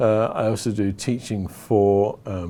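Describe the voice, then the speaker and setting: This man has a very deep, low pitch and a dark, mellow tone. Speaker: worship leader and trainer. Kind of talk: interview answers. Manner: hesitant, many fillers.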